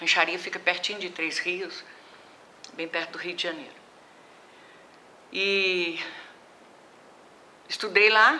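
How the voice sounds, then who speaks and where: Over noticeable background noise, the speech moves at a very slow pace with long, frequent pauses, big swings in loudness, and ordinary pitch variation. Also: woman, fairly low pitch for a woman. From Brazil, Minas Gerais (Juiz de Fora). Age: 70s. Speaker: retired professor of physical education. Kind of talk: oral history interview.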